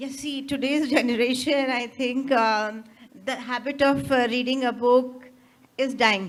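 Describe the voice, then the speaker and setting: A woman with an Indian accent at a fairly slow pace, high-pitched, with monotone, flat intonation. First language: Hindi. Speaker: author. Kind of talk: interview. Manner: halting.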